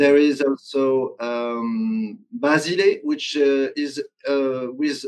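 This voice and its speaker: A French accent with ordinary pitch variation over a quiet background. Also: man. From France. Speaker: tabletop game designer. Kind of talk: interview. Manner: halting. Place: home room.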